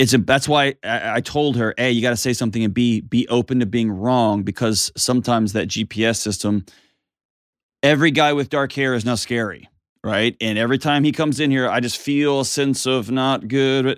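With a Texas accent, a man talks at medium pitch. He keeps a moderate pace and ordinary pitch variation. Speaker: mental health advice show host. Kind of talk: call-in advice show, casual chat. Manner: animated; joking, laughs often.

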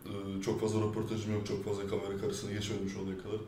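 Amid noticeable background noise and audible room echo, a fairly low-pitched man talks at a very fast pace in a monotone, flat intonation. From France. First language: French (speaking Turkish). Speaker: rapper. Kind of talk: interview. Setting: studio.

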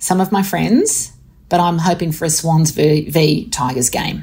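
Somewhat breathy and with a dark, mellow tone, a woman speaks in a fairly low pitch with an Australian accent. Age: 50s. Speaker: author and professor. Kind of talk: interview.

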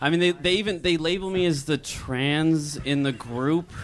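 A man with an American accent speaks at a moderate pace in fairly high pitch. He has a normal speaking voice. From California. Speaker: amateur comedian. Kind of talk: stand-up. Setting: stage with audience.

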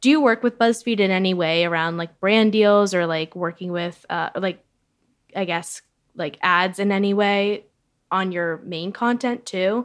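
A woman speaks in a plain, everyday voice at a moderate pace and medium pitch, with ordinary pitch variation and a quiet background. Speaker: media editor and podcast host. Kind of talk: podcast interview.

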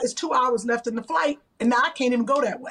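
A woman talks at a fast pace with a fairly high pitch and ordinary pitch variation. Her tone is fairly bright, with a slightly husky edge.

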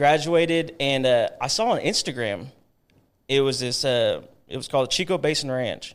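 A man with an American accent, a normal speaking voice, fairly high pitch for a man, ordinary pitch variation and a moderate pace. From Texas, Georgetown near Austin. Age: 30s. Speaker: leather maker. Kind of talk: casual chat.

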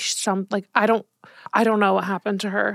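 On a very clean recording with a silent background and a dry, close sound with no echo, a woman has an unremarkable speaking voice at a medium pitch with fairly even intonation. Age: 30s. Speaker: podcast host. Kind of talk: casual chat.

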